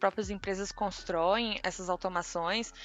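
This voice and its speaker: A woman talks at a medium pitch. Background music plays under her voice. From Tocantins, northern Brazil. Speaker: RPA developer. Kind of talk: casual interview.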